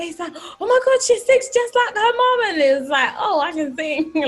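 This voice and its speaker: Here is a woman with a London accent. She talks at a fairly quick pace. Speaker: gospel singer. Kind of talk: interview.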